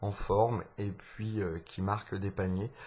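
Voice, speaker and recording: The soft-spoken voice is somewhat breathy, with monotone, flat intonation. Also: man. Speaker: sports podcast host. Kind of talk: live commentary. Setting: at home. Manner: halting.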